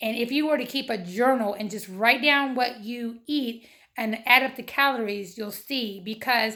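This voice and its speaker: A bright, sharp tone at a moderate pace, with ordinary pitch variation and a very clean recording against a silent background. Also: woman. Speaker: weight loss vlogger. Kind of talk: casual vlog monologue. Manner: hesitant, many fillers.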